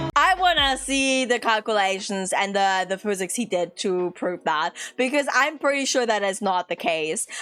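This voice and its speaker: At a moderate pace with hardly any pauses, a woman with a non-native accent speaks at a medium pitch in an animated, bright, sharp tone with lively intonation. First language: not English. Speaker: vtuber streamer. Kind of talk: reaction commentary.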